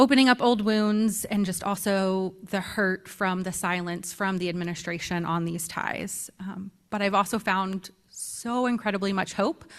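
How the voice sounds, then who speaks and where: An American-accented woman's medium-pitched voice with fairly even intonation and hardly any pauses, on a very clean recording with a silent background. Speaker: graduate student and survivor advocate. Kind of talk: speech at teach-in. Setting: stage with audience. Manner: fast; hesitant, many ums.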